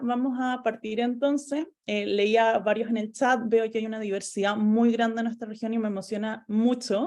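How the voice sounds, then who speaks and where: Using fairly even intonation, a woman with a Chilean accent speaks at a fairly high pitch. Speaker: environmental lawyer. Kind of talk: lecture. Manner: fast.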